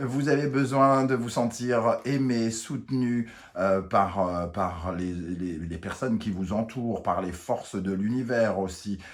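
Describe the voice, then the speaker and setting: A man at a very slow pace with hardly any pauses. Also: medium pitch for a man, ordinary pitch variation. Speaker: tarot reader. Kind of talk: tarot reading. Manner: hesitant, many fillers.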